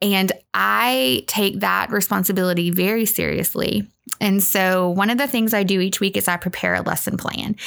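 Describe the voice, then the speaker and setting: A woman with a Southern US accent speaks at a medium pitch and a moderate pace, with ordinary pitch variation. Her loudness stays very even in a very clean recording with a silent background. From US South, Arkansas (North Little Rock). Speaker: preschool minister. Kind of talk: casual chat. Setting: studio.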